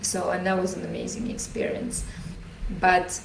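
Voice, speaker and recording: A woman with a Russian accent at a fairly slow pace, ordinary pitch variation, noticeable background noise and audible room echo. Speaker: leadership coach. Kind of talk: podcast interview.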